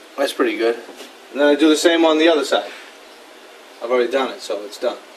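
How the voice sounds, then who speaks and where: With an American accent, a man talks at a very fast pace with big swings in loudness over noticeable background noise. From Boston. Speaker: woodworker. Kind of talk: tutorial. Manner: casual, conversational.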